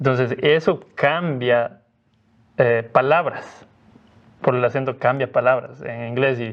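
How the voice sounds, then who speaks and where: A man in a medium pitch with a Cuenca Ecuadorian accent, very slow and broken by long, frequent pauses. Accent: Cuenca Ecuadorian, sing-song. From Ecuador, Cuenca. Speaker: missionary Bible teacher, former student. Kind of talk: podcast interview.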